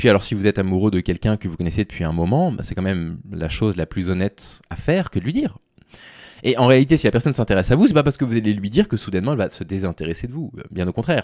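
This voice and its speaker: Against a quiet background with a dry sound and no echo, a man speaks very fast in a fairly low voice with lively intonation. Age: 30s. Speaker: YouTuber and Twitch streamer commenting on dating advice; YouTuber, Twitch streamer commenting on dating advice. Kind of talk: live stream commentary reading and critiquing a forum post. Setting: live on Twitch. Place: home room. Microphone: studio mic.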